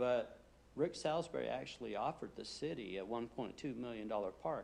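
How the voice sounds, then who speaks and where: With ordinary pitch variation, a man's voice shows vocal fry. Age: 50s. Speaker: applicant at city planning meeting. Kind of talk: public meeting testimony.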